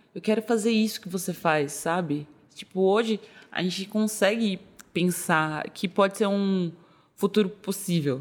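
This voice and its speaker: An ordinary speaking voice from a woman, medium in pitch with ordinary pitch variation, at a fairly slow pace. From São Paulo, north zone. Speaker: MMA fighter. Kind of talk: casual interview.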